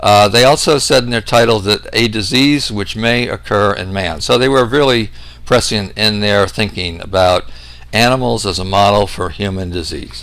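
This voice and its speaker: A man talks at a moderate pace in a fairly low pitch. Audible room echo and noticeable background noise surround him. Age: 60s. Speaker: medical researcher, doctor. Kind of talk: lecture. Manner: hesitant with frequent fillers.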